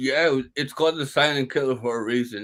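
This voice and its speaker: A man's plain, everyday voice with an American accent, medium pitch and ordinary pitch variation. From Brooklyn, New York. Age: 30s. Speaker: stroke survivor, stand-up comedian. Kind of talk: interview answer.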